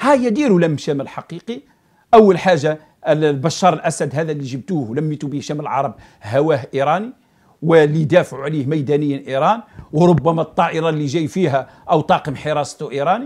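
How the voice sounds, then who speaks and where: A man with an Algerian accent against a quiet background. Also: fairly high pitch for a man, ordinary pitch variation, moderate pace. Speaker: political commentator. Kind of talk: political commentary monologue. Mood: critical, sarcastic. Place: studio.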